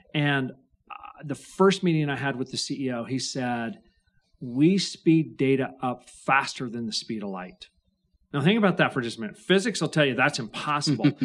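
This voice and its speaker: A man speaks with a slight Idaho accent. His pitch is fairly high and his intonation lively. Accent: Idaho drawl, slight. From Idaho, rural farm. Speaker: venture capitalist. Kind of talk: podcast interview.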